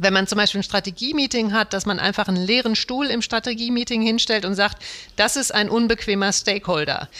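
A woman with an unremarkable speaking voice, fairly high in pitch, ordinary pitch variation and a fairly quick pace. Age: 40s. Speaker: management consultant. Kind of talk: interview.

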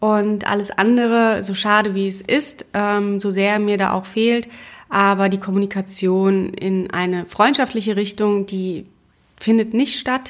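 With a very clean recording and a silent background, a woman speaks in a plain, everyday voice at medium pitch, at a fairly slow pace with fairly even intonation. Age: 30s. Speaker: podcast host, single mother and graphic designer. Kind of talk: personal monologue podcast. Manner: casual with frequent filler words.

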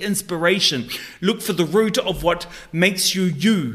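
A high-pitched man with a New Zealand accent, at a moderate pace and with ordinary pitch variation. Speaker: life coach. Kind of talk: interview.

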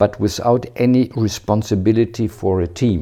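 Moderate pace and ordinary pitch variation in a dark, mellow tone, over a quiet background. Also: man. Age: 60s. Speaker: retired bank manager. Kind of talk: interview. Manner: halting.

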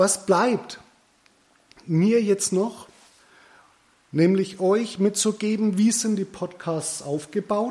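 Speech in a Franconian accent moves at a very slow pace with fairly even intonation. Long pauses come often. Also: man, high pitch for a man. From Middle Franconia, Bavaria. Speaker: podcast host, hairdressing business owner. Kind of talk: solo podcast monologue.

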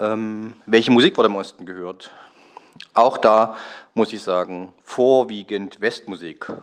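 This man has a plain, everyday voice, pitched fairly low with ordinary variation. He speaks at a fairly slow pace, with big swings in loudness. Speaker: listener. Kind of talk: voice message. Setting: recorded voice message.

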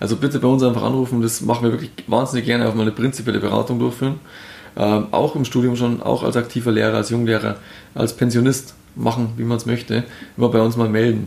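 Here a man with a medium pitch talks at a very fast pace. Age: 30s. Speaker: insurance advisor. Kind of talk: interview. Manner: animated.

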